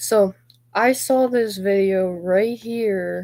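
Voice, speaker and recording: A woman speaks at a medium pitch. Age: 20s. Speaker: gaming streamer. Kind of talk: livestream talk about personal grievances. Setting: live stream.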